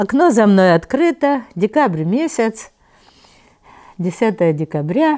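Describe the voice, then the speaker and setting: A woman speaks in a warm tone at a very slow pace, with long, frequent pauses. Her pitch swings very widely over a quiet background. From Kharkiv, Ukraine; Ukraine. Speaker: Holocaust survivor. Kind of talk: oral history interview, life story. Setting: interview in Kharkiv. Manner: conversational, reminiscing, warm. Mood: warm, animated, sometimes laughing. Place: home room.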